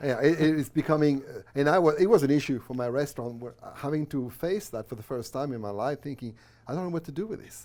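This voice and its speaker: Speaking at a very fast pace, a man with a fairly high voice shows ordinary pitch variation and big swings in loudness. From France. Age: 60s. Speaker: minister and former restaurateur. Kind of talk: interview conversation. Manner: halting.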